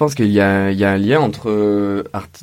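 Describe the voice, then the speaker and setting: A man talks with a fairly low pitch. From Provence, Vaucluse (Orange). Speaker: sculptor and interior designer. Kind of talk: interview. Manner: hesitant, with fillers.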